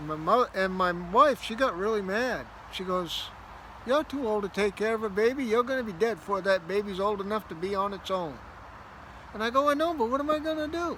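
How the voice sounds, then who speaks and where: Raising and projecting his high voice, a man speaks at a fairly quick pace with lively intonation. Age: 60s. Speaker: storyteller vlogger. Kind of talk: casual storytelling.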